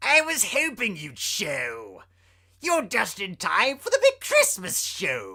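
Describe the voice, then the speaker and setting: In a put-on character voice, the speaker talks at a fairly slow pace and a fairly high pitch, on a very clean recording with a silent background. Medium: read story. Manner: cackling, sing-song taunting.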